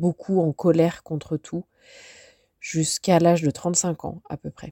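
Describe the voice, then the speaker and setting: Recorded very cleanly against a silent background, a woman speaks in a flat monotone at a fairly low pitch with a dark, mellow tone. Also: dry, close sound with no echo. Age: 40s. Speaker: life coach. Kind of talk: podcast monologue. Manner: halting.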